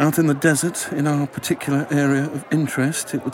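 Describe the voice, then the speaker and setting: There is noticeable background noise as a man speaks at a moderate pace. His fairly high voice stays monotone and flat. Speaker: actor. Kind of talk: casual chat.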